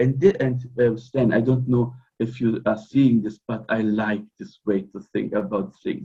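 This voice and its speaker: A man's somewhat breathy, medium-pitched voice with a non-native accent, at a fairly slow pace. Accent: non-native English speaker. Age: 40s. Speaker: fraternal order member. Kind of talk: interview. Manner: halting.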